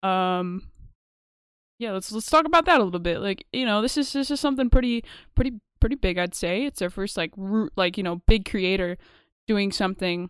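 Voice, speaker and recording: On a very clean recording with a silent background, a woman with an ordinary speaking voice talks at medium pitch and a fairly quick pace, her intonation lively. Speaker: podcast host. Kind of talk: casual chat. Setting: live stream. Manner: casual, chatty.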